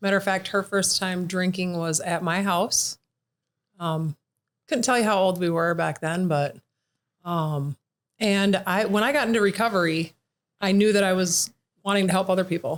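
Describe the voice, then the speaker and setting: A woman's medium-pitched voice with ordinary pitch variation, very even loudness, a moderate pace and long, frequent pauses. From US Midwest, southern Minnesota. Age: 40s. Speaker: podcast guest in recovery. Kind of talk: casual interview.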